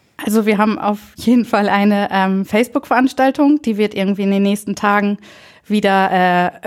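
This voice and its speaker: A woman speaks in a plain, everyday voice at medium pitch. Her intonation is fairly even and her pace moderate. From northern Germany, Friesland (Bockhorn). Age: 20s. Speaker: trainee primary school teacher, volunteer. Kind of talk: casual interview.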